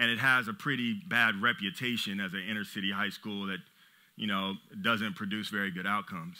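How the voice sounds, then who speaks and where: In an American accent, a man speaks fairly quickly with a fairly low voice. His pitch moves in an ordinary way, and the background is quiet. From Los Angeles, US. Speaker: business owner and CEO; conference speaker. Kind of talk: motivational talk. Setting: stage with audience. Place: stage. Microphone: headset.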